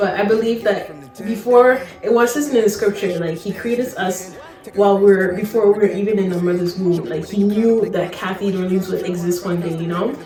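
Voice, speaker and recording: With audible room echo and noticeable background noise, a woman speaks at a moderate pace, her medium pitch showing ordinary variation. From French-speaking background. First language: French. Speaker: beauty and hair vlogger. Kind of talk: casual chat. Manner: casual, filler-heavy.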